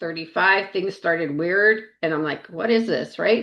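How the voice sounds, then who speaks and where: A woman speaks at a moderate pace with ordinary pitch variation in a plain, everyday voice. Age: 60s. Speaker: health and wellness coach. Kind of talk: casual chat.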